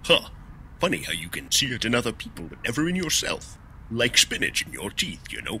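A man's cartoonish character voice over clear background noise. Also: medium pitch for a man, fairly quick pace. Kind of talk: comedic sketch dialogue. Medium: puppet show. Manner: wisecracking, impatient. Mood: musing.

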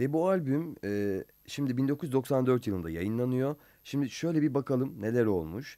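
The background stays quiet. A man with a dark, mellow tone talks fairly slowly. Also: medium pitch for a man. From Turkey. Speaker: radio host. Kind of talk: interview. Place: studio. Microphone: studio mic.

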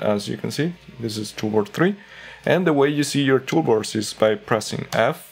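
Faint music plays in the background. A man talks at a moderate pace. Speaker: software tips creator. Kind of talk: tutorial. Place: home room.

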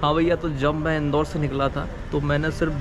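Clear background music behind a man, moderate pace. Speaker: travel vlogger. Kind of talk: casual vlog chat. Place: street. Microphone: phone near.

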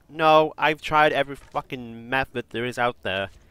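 A man speaks with ordinary pitch variation. The sound is dry and close with no echo, on a very clean recording with a silent background. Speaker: gamer YouTuber. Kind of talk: angry gaming rant. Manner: frustrated, complaining, emphatic; rambling, filler-heavy.

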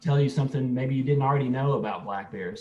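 Some light background noise is present. A man talks over it. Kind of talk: lecture. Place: home room. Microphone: video call.

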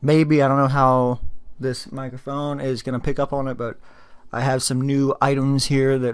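Against a quiet background, a man speaks at a moderate pace in a monotone, flat way. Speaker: gaming reaction video host. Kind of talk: casual vlog chat. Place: home room. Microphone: studio mic.

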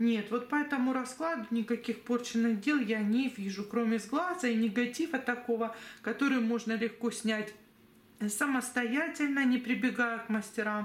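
A woman's fairly high voice at a moderate pace, with audible room echo. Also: ordinary pitch variation. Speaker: tarot reader and psychic. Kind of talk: tarot reading video monologue.

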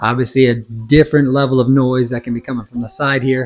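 Faint music plays in the background. A man speaks over it with monotone, flat intonation. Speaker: product reviewer. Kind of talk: product review demo. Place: home room. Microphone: lapel.

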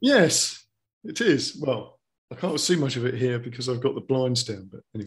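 The voice is somewhat breathy, moving at a moderate pace with ordinary pitch variation and big swings in loudness. The background is quiet. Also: man. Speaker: podcast host. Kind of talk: podcast interview questions. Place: home room. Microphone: video call.

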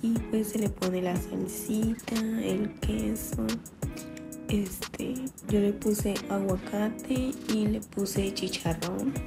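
A woman at a very slow pace over clear background music. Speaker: home vlogger. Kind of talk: casual vlog talk to camera. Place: kitchen. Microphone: phone near.

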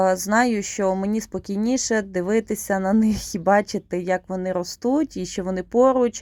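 A woman talks in a normal speaking voice at a medium pitch, with fairly even intonation and a fairly slow pace. The sound is dry and close with no echo, on a very clean recording over a silent background. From Ukraine, Rivne region. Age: 30s. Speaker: vlogger, mother of four. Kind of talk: casual vlog narration.

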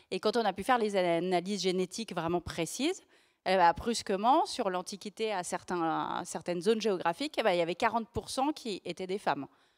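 A woman speaks at a moderate pace in a medium pitch with ordinary pitch variation. The background is quiet. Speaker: journalist and author; journalist. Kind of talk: live book talk. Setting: bookfair stage, livestreamed. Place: stage. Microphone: handheld.

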